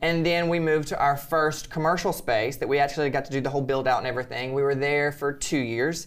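A fairly high-pitched man with an American accent, talking at a very fast pace with hardly any pauses. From Alabama, US South. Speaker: boudoir photographer and social media creator. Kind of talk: casual interview chat. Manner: animated, joking.

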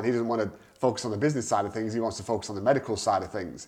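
His pitch sits in the medium range for a man, and the man's voice rises and falls with ordinary variation. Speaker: podcast host and entrepreneur. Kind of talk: casual chat. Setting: home recording. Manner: fast.

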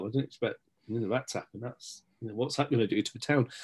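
A man speaks with an East Midlands accent. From Nottinghamshire, England (Stapleford). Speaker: local journalist and community figure. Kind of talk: casual interview chat.

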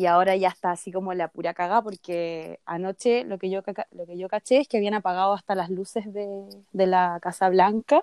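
Fairly quick and at a medium pitch, a woman's voice comes across dry and close with no echo. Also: fairly even intonation. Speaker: podcast co-host. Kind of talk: casual chat.

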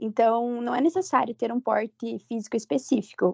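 At a moderate pace, a woman speaks in a high pitch with ordinary pitch variation, the sound dry and close with no echo. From Ponta Grossa, Paraná, Brazil. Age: 20s. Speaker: university student and cheerleading flyer. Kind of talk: casual podcast interview.

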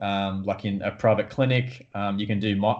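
Fairly even intonation marks this man's Australian accent. He talks at a moderate pace and a fairly low pitch. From Australia, Newcastle. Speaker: podiatrist and sports coach. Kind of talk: interview.

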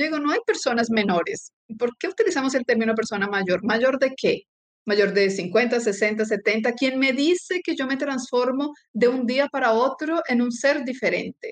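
Recorded with a dry, close sound and no echo, a woman speaks in a high voice at a fairly slow pace. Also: lively intonation. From Colombia. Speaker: sports medicine physician and professor. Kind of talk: interview.

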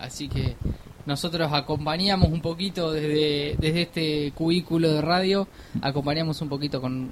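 Noticeable noise sits behind a voice that moves at a moderate speed. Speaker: podcast co-host. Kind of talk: live radio chat. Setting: radio studio.

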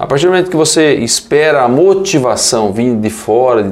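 A man's plain, everyday voice at a moderate pace, with lively intonation. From western Paraná, Brazil. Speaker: politician, deputy mayor. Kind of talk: radio interview.

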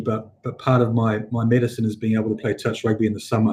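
A dark, mellow voice, very fast and somewhat breathy, in a flat monotone. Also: man. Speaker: healthcare company chief executive. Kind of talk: casual chat. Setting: video call.

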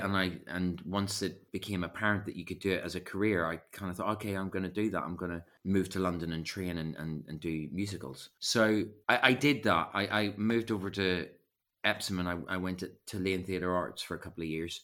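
A man's very deep, low voice with a bright, sharp tone, fairly even intonation and a fairly quick pace. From Northern Ireland, West Belfast. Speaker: actor, writer and acting coach. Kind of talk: casual chat.

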